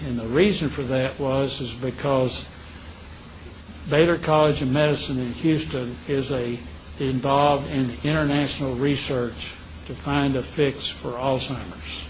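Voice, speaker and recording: With fairly even intonation and a fairly high pitch, a man talks at a moderate pace over noticeable background noise. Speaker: retired telecom executive with early memory loss. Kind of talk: interview answer. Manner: clear, determined.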